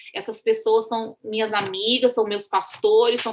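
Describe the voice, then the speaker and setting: At a moderate pace and with fairly even intonation, a woman with a fairly high pitch speaks over noticeable background noise. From Brazil, Minas Gerais (rural). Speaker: missionary. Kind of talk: interview.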